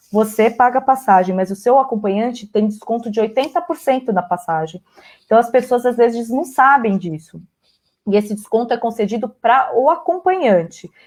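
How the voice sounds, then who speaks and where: With lively intonation, a woman talks at a fairly high pitch. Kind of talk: live stream interview. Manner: fast.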